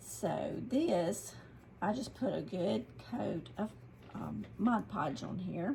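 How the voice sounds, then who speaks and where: A woman talks very slowly in a Southern US accent. Noticeable background noise runs behind her. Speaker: craft youtuber. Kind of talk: tutorial. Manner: casual, with many fillers.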